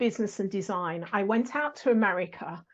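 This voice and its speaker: Against a quiet background, a woman with an English accent speaks at a fairly quick pace. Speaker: sales podcast host. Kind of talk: interview answers, telling her life story.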